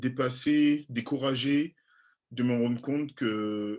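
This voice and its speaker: Against a quiet background, a man with an Antillean accent talks at a medium pitch with ordinary pitch variation. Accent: Antillean French accent, noticeable. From French Caribbean (Antilles). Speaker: journalist and TV presenter. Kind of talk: interview. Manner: halting, many fillers.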